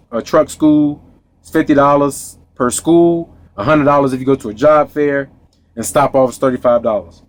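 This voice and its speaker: A moderate pace with an American accent and ordinary pitch variation, music in the background. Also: man. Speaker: truck driver vlogger. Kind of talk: casual vlog monologue.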